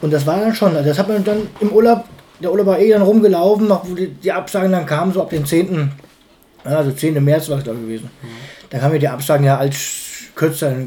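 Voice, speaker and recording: With lively intonation and long, frequent pauses, a man talks at a fairly quick pace in a fairly high pitch. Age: 30s. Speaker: fairground showman. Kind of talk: casual interview. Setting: home kitchen. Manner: halting.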